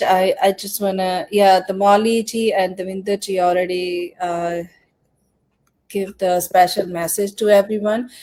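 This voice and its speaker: A woman's fairly slow, monotone speech in a Punjabi accent, medium in pitch with flat intonation. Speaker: live stream host, business promoter. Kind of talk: live stream interview. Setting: live online session.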